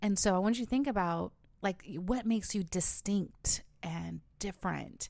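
A woman at a medium pitch speaks at a moderate pace with an unremarkable speaking voice, on a very clean recording with a silent background. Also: ordinary pitch variation. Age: 30s. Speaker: podcast host, former news anchor. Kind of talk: solo motivational podcast talk. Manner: warm, conversational.

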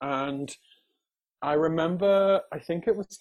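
Fairly slow in pace, a man speaks with a southern English accent. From southern England, raised in County Durham. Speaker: musical theatre actor. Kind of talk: casual chat. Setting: video call. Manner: soothing.

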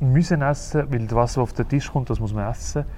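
Amid audible room echo, a man with a Zurich accent speaks very fast at medium pitch in a dark, mellow tone, with ordinary pitch variation. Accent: Swiss German (Zurich). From Switzerland, Uster (Zurich Oberland). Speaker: interviewer. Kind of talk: interview. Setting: theatre hall.

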